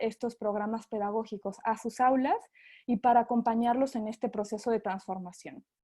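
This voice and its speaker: Against a quiet background, a woman with a dark, mellow tone speaks at a fairly high pitch and a moderate pace with ordinary pitch variation. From Mexico. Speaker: sales representative for an education company. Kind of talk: webinar presentation. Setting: online webinar. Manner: hesitant, with frequent fillers.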